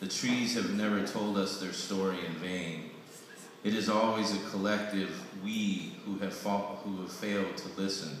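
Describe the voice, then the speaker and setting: A man with a fairly low pitch speaks slowly-ish, at a fairly slow pace, in a monotone, flat intonation. Strong room echo and light background noise surround him. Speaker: poet reading own work. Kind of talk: poetry reading. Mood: solemn, reflective. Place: hall. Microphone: camera far.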